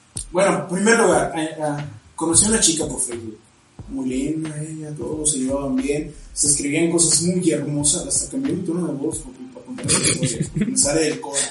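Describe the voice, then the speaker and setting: A man with a Mexican accent speaks at a moderate pace in a fairly high pitch, his intonation lively, with audible room echo and noticeable background noise. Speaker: podcast co-host. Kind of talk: casual chat.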